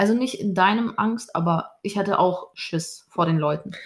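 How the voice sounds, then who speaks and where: A woman's somewhat breathy voice keeps a fairly even intonation. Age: 20s. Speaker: podcast co-host, dancer and social media creator. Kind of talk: casual chat.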